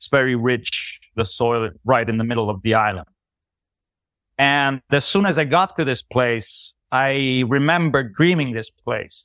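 With a normal speaking voice, a man talks at a fairly slow pace in a medium pitch. His pitch variation is ordinary, and the sound is dry and close with no echo. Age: 50s. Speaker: human design counselor. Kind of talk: interview. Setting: video call.

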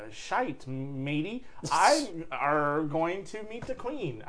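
Against clear background noise, a man does a put-on character voice at a fairly high pitch and a very slow pace.

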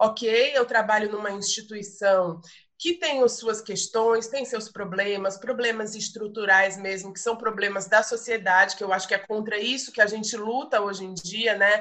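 A woman's fairly high, bright and sharp voice at a moderate pace. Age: 40s. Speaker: visual artist and arts educator. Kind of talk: casual chat. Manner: halting.

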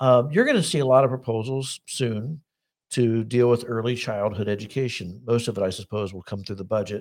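In a very clean recording with a silent background, a man with a plain, everyday voice talks at a fairly quick pace, using a medium pitch and ordinary pitch variation. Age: 60s. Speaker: political talk show host. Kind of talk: interview.

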